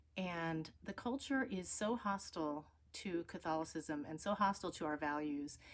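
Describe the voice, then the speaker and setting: A woman with an American accent speaks in a plain, everyday voice, fairly low in pitch, at a moderate pace with lively intonation. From United States. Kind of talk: conference talk. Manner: casual, conversational.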